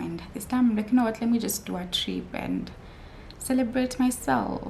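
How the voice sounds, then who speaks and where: Audible room echo around a woman's voice. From Kenya, Mombasa. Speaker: YouTuber. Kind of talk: casual vlog talk. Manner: chatty, many fillers.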